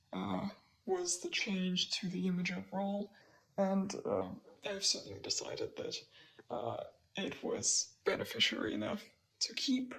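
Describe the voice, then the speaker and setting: Over noticeable background noise, a woman talks at a fairly slow pace, leaving long, frequent pauses. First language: not English. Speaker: digital illustrator. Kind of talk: narrated art process commentary. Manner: hesitant, many fillers. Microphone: poor recording quality in first three minutes.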